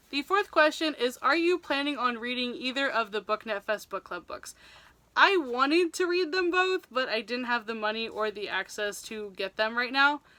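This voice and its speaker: In an American accent, a woman talks in an animated tone at a high pitch with very wide pitch swings. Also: moderate pace. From US Northeast, New Jersey. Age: 20s. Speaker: book vlogger. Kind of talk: casual vlog talk.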